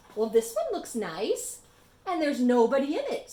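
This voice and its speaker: A woman uses a high, put-on character voice at a moderate pace. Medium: read story.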